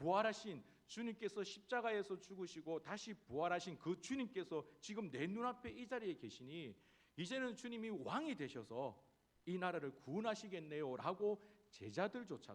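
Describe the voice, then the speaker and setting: The speaker is a man with a high pitch. His pitch swings very widely. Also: moderate pace. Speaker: pastor. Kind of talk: sermon.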